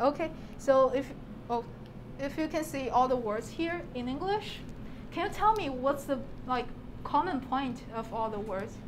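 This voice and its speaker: Against noticeable background noise and audible room echo, a woman with a Chinese accent speaks at a moderate pace, pausing long and often. Her voice is high-pitched, with lively intonation. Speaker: PhD student presenter. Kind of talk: talk to an audience. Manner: halting, with fillers and restarts.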